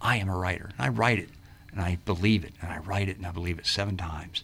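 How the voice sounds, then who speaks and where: A very deep, low male voice at a very fast pace, with very wide pitch swings and noticeable background noise. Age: 60s. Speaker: health and fitness coach. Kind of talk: radio interview. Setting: radio studio.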